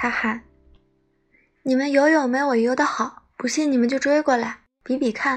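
A calm woman with a high pitch at a fairly slow pace. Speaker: bedtime story narrator. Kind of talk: reading aloud. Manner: calm and soft-spoken.

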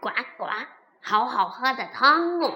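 Putting on a croaky character voice, a woman speaks at a fairly slow pace in a high pitch. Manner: croaking, delighted.

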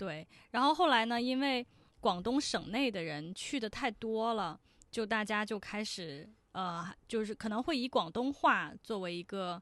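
A woman with a plain, everyday voice speaks at a fairly slow pace against a quiet background. Her pitch sits fairly high and her intonation is lively. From Shenzhen, China. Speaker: podcast host as guest. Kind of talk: casual interview chat.

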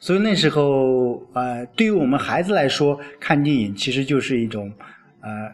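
Lively intonation carries a man's fairly high voice. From China. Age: 40s. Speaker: village-level official and self-media podcaster. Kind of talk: solo podcast monologue. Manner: hesitant with frequent fillers.

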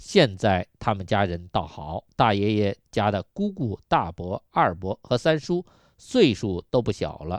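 In an unremarkable speaking voice, a man talks at a fairly slow pace and fairly low pitch with lively intonation, the sound dry and close with no echo. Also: quiet background. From Yunnan, China. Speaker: radio health show host. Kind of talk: radio health talk monologue.

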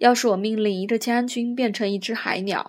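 This is a natural reading voice with fairly even intonation.

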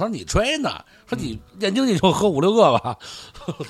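Over noticeable background noise, a man with a Beijing accent speaks at a very fast pace with very wide pitch swings. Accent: Beijing Mandarin. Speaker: food blogger. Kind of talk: casual chat.

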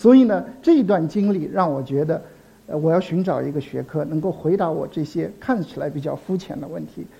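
This man's voice sits fairly high, has a dark, mellow tone and ordinary pitch variation, and moves at a moderate pace. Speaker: anthropology professor. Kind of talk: public lecture. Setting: stage with audience. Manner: halting, many filler sounds.

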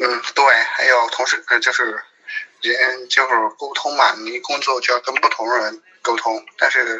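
A man with a strong Beijing accent, at a fairly slow pace. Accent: strong Beijing accent, heavy erhua. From Sichuan, Chengdu. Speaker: guest. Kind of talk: casual chat.

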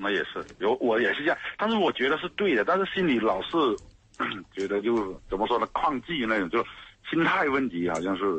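A man talks at a fairly quick pace with a medium pitch. His pitch swings very widely. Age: 40s. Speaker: radio caller. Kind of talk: call-in conversation about marriage problems.

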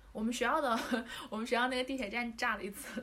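A woman talks with a high pitch. Audible room echo and noticeable background noise surround her voice. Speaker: former overseas student. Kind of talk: casual chat.

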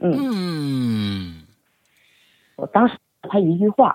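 The voice has a dark, mellow tone with very wide pitch swings and a very slow pace. The sound is dry and close, with no echo. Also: woman. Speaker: media and event producer. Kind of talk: storytelling interview.

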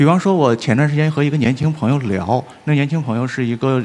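A man speaks at a fairly quick pace with ordinary pitch variation. It is a plain, everyday voice on a very clean recording with a silent background. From Northeast China. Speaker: writer. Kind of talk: panel discussion. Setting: stage with audience.

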